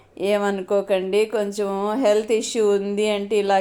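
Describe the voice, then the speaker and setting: Monotone and flat in intonation, a woman speaks at a medium pitch with a dark, mellow tone. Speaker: home cooking and gardening vlogger. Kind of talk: casual vlog narration. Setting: at home, some outdoor garden footage. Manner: chatty, conversational.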